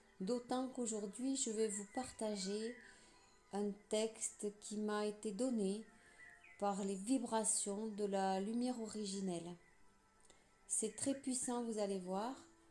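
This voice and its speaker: A woman's fairly high voice at a very slow pace, with long, frequent pauses and fairly even intonation over music in the background. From southwest France. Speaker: spiritual channeler. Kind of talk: casual talk to camera.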